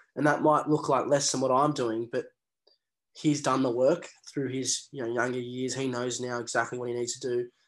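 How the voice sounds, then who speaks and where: A man with an Australian accent, medium pitch, moderate pace and monotone, flat intonation, over a quiet background. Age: 20s. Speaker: professional rugby player. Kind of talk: interview.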